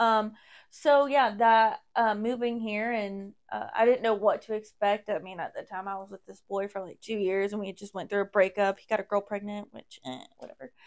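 A woman at medium pitch, a normal speaking voice, moderate pace with hardly any pauses, ordinary pitch variation and big swings in loudness. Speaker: hairstylist. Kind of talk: casual chat. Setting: studio.

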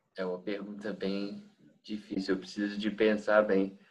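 In a Minas Gerais accent, a man talks at a fairly low pitch. His intonation is monotone and flat. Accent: Brazilian Portuguese, Minas Gerais. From Brazil, Minas Gerais. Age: 20s. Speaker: exchange student and English teacher. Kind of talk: interview. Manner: halting, frequent repetitions.

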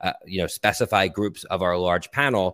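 This is an unremarkable speaking voice: a man with an American accent, fairly low-pitched, at a moderate pace. The recording is very clean with a silent background, and the sound is dry and close with no echo. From US Northeast, Philadelphia. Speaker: tech company CEO. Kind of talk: interview.

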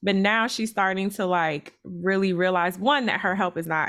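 A woman speaks at a moderate pace and medium pitch with lively intonation. It is an ordinary speaking voice. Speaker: podcast co-host. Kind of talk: casual chat.

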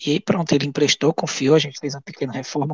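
A somewhat breathy man at a fairly high pitch, with a dry, close sound and no echo. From Goiás, Brazil. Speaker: elderly caregiver and former social project founder. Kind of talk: interview.

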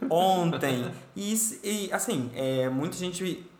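High pitch from a man, with audible room echo and noticeable background noise around it. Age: 30s. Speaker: podcast host. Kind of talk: casual chat.

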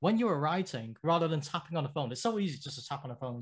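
The voice is somewhat breathy, with a British accent and ordinary pitch variation. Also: man, very clean recording, silent background. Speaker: graphic designer and former pro gamer. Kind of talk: interview. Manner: halting, many fillers.

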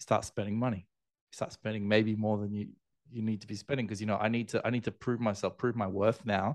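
With an Australian accent, a man speaks at a fairly quick pace and a fairly low pitch. His delivery is monotone and flat against a quiet background. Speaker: airline loyalty entrepreneur. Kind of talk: interview conversation.

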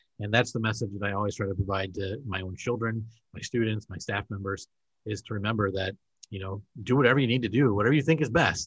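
With a Wisconsin accent, a man at a fairly low pitch speaks at a very fast pace, somewhat breathy, with ordinary pitch variation against a quiet background. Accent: Wisconsin, northern Midwest. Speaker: podcast host, school administrator. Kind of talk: casual interview chat.

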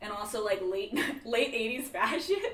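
An American accent with very wide pitch swings over noticeable background noise. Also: woman. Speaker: podcaster guest. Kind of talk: casual podcast chat.

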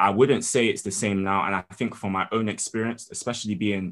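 In a London accent, a man talks at a fairly quick pace with a fairly low pitch. The background is quiet. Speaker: student and spoken word poet. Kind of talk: casual interview.

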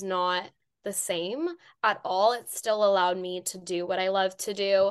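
Against a quiet background, a woman of medium pitch talks at a fairly slow pace with fairly even intonation. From Los Angeles, California (Iranian-American). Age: 20s. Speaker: mental health advocate and crisis counselor. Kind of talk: interview conversation.

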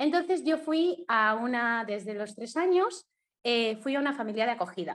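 Against a quiet background, a woman with a high pitch and very wide pitch swings speaks at a moderate pace. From Mallorca, Spain. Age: 20s. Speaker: blogger and adoptee. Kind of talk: testimony.

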